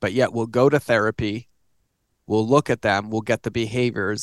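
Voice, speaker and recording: A man talks at a fairly quick pace in an ordinary speaking voice of medium pitch, his intonation fairly even and the sound dry and close with no echo. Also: quiet background. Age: 40s. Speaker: author and digital marketing consultant. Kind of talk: casual chat. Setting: home office studio.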